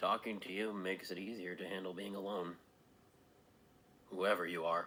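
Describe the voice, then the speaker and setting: A man's put-on character voice, raspy and very deep, at a moderate pace. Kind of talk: dramatic monologue. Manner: frightened, stammering.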